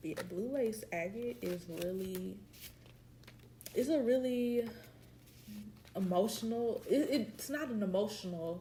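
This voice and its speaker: A woman's fairly high voice with lively intonation, a very slow pace, long, frequent pauses and audible room echo. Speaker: podcast co-host. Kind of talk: casual chat.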